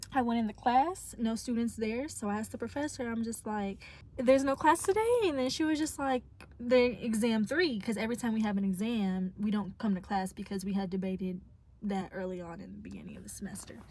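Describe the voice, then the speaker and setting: Somewhat breathy and fairly high-pitched, a woman talks at a fairly quick pace with ordinary pitch variation and big swings in loudness. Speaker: college student vlogger. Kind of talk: casual vlog chat. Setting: in a parked car. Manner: casual, self-correcting with stumbles.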